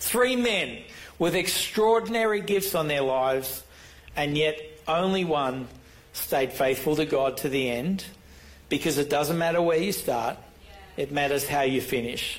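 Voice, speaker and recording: A man with a fairly high pitch uses lively intonation at very even loudness, leaving long, frequent pauses amid audible room echo. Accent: Australian. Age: 60s. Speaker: pastor. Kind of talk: sermon.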